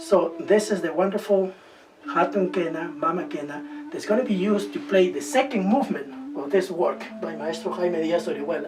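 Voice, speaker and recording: A man with a Spanish accent, high-pitched, with very wide pitch swings and noticeable background noise. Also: moderate pace. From Peru. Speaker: musician. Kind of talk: documentary interview.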